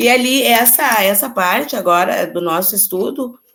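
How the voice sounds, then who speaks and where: With audible room echo, a woman speaks at a very slow pace, her pitch swinging very widely. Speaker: chemistry teacher. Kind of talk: lecture.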